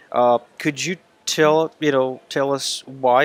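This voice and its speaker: A man's medium-pitched, monotone, flat delivery with a dry, close sound, no echo, and noticeable background noise. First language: not English (English is third language). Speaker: business coach. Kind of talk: interview.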